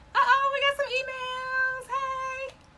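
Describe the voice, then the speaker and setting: Noticeable background noise surrounds a woman's voice. She speaks in an animated tone. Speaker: sewing and embroidery instructor. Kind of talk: live stream sales pitch. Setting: live video stream.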